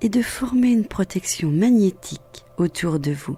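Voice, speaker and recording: A woman speaks fairly slowly in a calm, soothing tone at medium pitch, her voice dark, mellow and somewhat breathy. Her intonation is lively. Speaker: guided meditation guide. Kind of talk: guided meditation. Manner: calm, slow, soothing.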